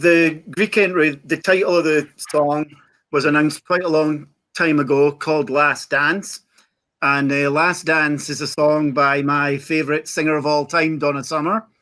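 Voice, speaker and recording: Speaking in a Scottish accent at a fairly slow pace, the voice keeps a fairly even intonation on a very clean recording with a silent background. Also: man, fairly high pitch for a man. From Scotland. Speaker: Eurovision fan panelist. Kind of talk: casual chat.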